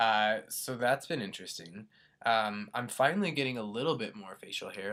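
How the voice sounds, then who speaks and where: A man's fairly low voice with a bright, sharp tone at a moderate pace. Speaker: vlogger and student. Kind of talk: casual vlog. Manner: hesitant, many fillers.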